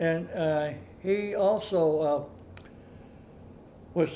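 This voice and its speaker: Here a man speaks with a rural Canadian accent. His pitch is fairly high and his intonation fairly even. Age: 90s. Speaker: retired farmer. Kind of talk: oral history interview. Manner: halting.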